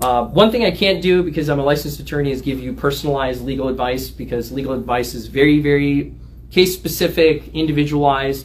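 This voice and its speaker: A man talking at a very fast pace over light background noise. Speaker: lawyer giving a talk. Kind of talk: livestream discussion. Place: office. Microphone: camera far.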